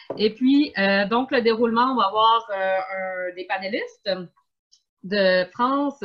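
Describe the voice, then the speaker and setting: Speaking fairly slowly with a strong Quebec accent, a woman uses a fairly high pitch and ordinary pitch variation. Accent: strong Québécois. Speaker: event host, museum community organizer. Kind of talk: online panel moderation.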